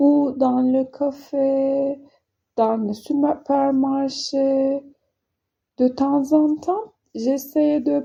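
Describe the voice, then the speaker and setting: With a non-native accent, a woman speaks at a high pitch and a very slow pace, her tone dark and mellow, her intonation fairly even, and her pauses long and frequent. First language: not French (speaking French). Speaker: French learner vlogger. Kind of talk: casual vlog monologue. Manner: halting, many hesitations.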